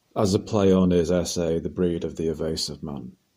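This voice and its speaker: Very deep and low in pitch, a man with a dark, mellow tone speaks at a moderate pace with fairly even intonation. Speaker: video essayist. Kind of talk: opinion commentary to camera. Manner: casual, conversational with hesitations.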